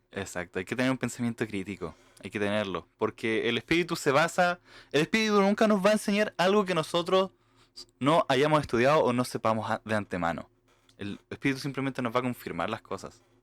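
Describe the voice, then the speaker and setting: A man with an Argentine accent at a medium pitch, fairly quick, with very wide pitch swings, a dry, close sound with no echo, and a very clean recording, silent background. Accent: Argentine-tinged Spanish from mission. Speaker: podcast co-host. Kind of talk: casual chat.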